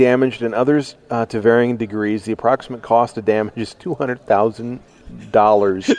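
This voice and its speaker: A man talks at a fairly quick pace in an ordinary speaking voice, medium in pitch with ordinary pitch variation. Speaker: radio host. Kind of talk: radio interview. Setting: conference, recorded live.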